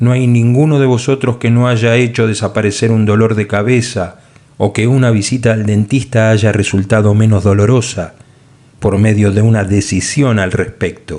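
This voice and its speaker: A man's medium-pitched voice at a moderate pace, with fairly even intonation and very even loudness. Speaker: audiobook narrator. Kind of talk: audiobook narration. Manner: shifts tone between author and God voices.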